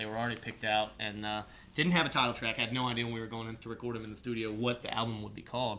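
Very fast speech with fairly even intonation carries a bright, sharp tone. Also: man, medium pitch for a man. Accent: US Midwestern. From Ohio, Columbus area. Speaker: country singer-songwriter. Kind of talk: casual interview.

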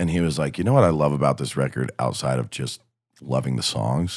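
With an American accent, a man speaks in a very deep, low pitch with vocal fry. His pace is moderate and his pitch variation ordinary. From southwest Ohio, north of Cincinnati. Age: 20s. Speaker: country musician. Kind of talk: casual chat.

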